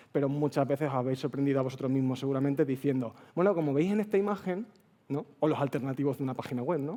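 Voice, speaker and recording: A man with a fairly high voice, talking at a very fast clip. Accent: Extremaduran. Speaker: accessibility speaker at a developer conference. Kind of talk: conference talk. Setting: stage with audience. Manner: casual, chatty.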